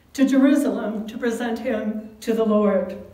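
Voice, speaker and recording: A woman speaks at a very slow pace. Room echo is audible. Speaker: pastor. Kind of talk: sermon. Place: church. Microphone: camera far.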